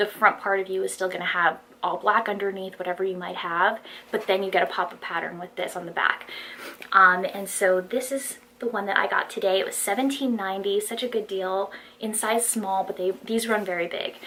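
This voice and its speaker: Over noticeable background noise, a woman talks fairly quickly in a shaky, medium-pitched voice with fairly even intonation. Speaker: fashion haul vlogger. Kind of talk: casual haul video monologue. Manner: shaky voice. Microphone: no external microphone, built-in mic.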